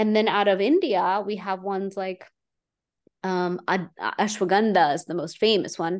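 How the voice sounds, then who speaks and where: At a moderate pace, a woman of medium pitch speaks in a plain, everyday voice. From Houston, Texas, Indian immigrant family. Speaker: Ayurvedic practitioner. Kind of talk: interview.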